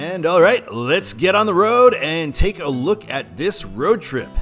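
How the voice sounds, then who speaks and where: A man talks at a fairly slow pace. Behind him, faint music plays. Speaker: travel vlogger. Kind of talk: casual vlog chat.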